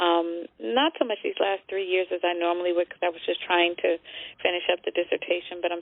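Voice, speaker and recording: A woman's plain, everyday voice, fairly low in pitch, with an American accent, fairly even intonation and a fairly quick pace. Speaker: gospel singer and trainer. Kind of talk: radio interview.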